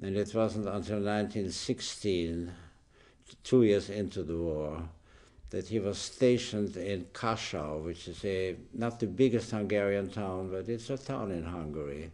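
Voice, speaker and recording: A man talks at a fairly slow pace in a fairly low voice with a dark, mellow tone and ordinary pitch variation. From Austria, Vienna. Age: 80s+. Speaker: interviewee recounting family history. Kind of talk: oral history interview. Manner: halting.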